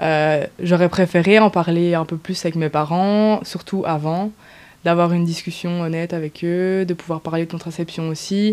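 Her intonation is monotone and flat, with a fairly low pitch. The woman keeps a moderate pace. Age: 20s. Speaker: testimony interviewee. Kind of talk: personal testimony. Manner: halting.

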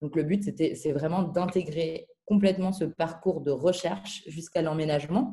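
Hardly pausing, a woman with a fairly low pitch and a dark, mellow, somewhat breathy tone speaks at a fairly slow pace with ordinary pitch variation. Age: 20s. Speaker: startup founder. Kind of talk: interview. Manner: hesitant, many filler words.

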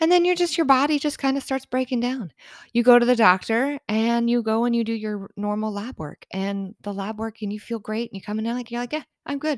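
A woman with a plain, everyday voice speaks at a fairly high pitch and ordinary pitch variation, fairly quickly and with hardly any pauses. The recording is very clean with a silent background and a dry, close sound with no echo. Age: 40s. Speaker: podcast host. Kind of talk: casual monologue. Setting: home office. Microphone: new podcast microphone.

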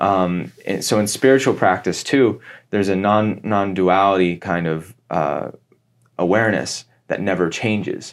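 A man in a Midwestern American accent, fairly low in pitch, with ordinary pitch variation and a fairly slow pace, over a very clean recording and silent background. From US Midwest (Cincinnati, Ohio). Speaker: actor and spiritual guide. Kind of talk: casual interview chat.

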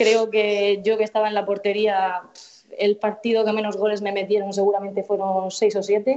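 Her voice sits fairly high in pitch, yet this woman has a dark, mellow tone. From Murcia, Spain. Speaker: futsal pundit, TV journalist. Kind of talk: casual chat. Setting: call.

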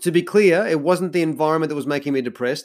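A man with an Australian accent speaks at a fairly high pitch. The recording is very clean, with a silent background. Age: 40s. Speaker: podcast host, life coach. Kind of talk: solo podcast monologue.

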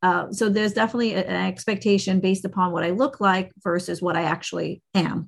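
A woman's medium-pitched voice with vocal fry, fairly even intonation and a fairly quick pace, over a quiet background. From Caribbean. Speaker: attorney. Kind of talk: casual interview. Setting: podcast interview. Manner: halting, many restarts.

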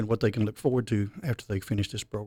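Speaking in a Memphis accent at a fairly low pitch, the man sounds dry and close with no echo on a very clean recording with a silent background. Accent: Southern US (Memphis). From Memphis, Tennessee. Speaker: high school mechatronics teacher. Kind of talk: interview podcast.

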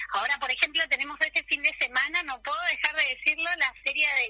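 Raised and projected, a woman's high-pitched voice moves at a fairly quick pace with a bright, sharp tone, ordinary pitch variation, and a dry, close sound with no echo. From Buenos Aires, Argentina. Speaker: retired kindergarten teacher and painter. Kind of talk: radio interview.

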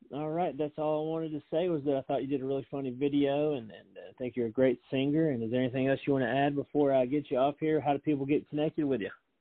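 A man's very fast, fairly high-pitched speech with fairly even intonation and hardly any pauses. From Tennessee. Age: 30s. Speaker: podcast host. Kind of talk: casual interview.

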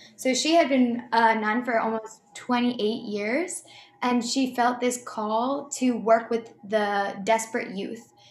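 A woman's fairly high voice at a very slow pace, with fairly even intonation and music in the background. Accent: American. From US Northeast (Boston area). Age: 20s. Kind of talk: interview, personal testimony.

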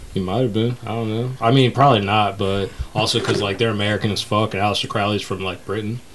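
A man talks very fast in an animated tone, his pitch fairly low. Noticeable background noise runs underneath. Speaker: podcast host. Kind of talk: casual banter podcast. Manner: animated, joking.

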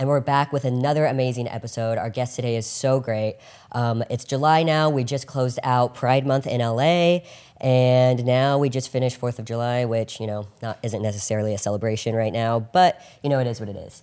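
The pace of this man's speech is fairly quick. Fairly even intonation runs through it. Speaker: podcast host. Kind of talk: casual interview chat.

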